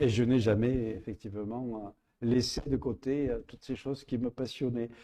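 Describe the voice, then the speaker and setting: The man's tone is dark and mellow, at a medium pitch. He keeps a moderate pace and fairly even intonation. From Provence, southern France. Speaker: astrophysicist and writer. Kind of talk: public interview. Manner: hesitant, with many fillers.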